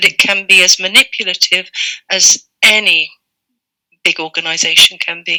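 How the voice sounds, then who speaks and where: A woman with an English accent speaks at a medium pitch and a moderate pace, with fairly even intonation. Her speech has long, frequent pauses, and the sound is dry and close, with no echo. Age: 60s. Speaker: retired librarian. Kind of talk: interview.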